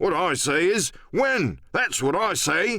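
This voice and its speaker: A man puts on a gruff character voice, pitched high and delivered at a fairly slow pace. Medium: read story. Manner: gruff, grumbling.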